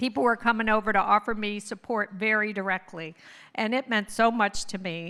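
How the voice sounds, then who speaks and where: A woman with an American accent speaks in a bright, sharp tone at a fairly high pitch and moderate pace, with fairly even intonation. The recording is very clean with a silent background. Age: 60s. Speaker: co-founder of a mothers' organization. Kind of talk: anniversary speech. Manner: conversational, informal.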